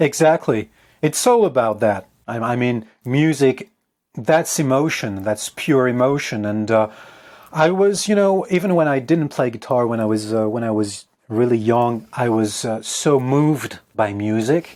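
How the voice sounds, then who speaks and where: Speaking in a French accent, a man keeps a medium pitch. His pace is fairly slow and his intonation lively. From France. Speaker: guitarist and composer. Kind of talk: interview. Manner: halting.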